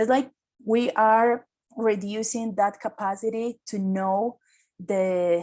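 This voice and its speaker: A woman's fairly high voice, very slow in pace, with fairly even intonation. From Caribbean coast of Colombia. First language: Spanish. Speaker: climate activist. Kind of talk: seminar talk. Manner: halting, with many fillers.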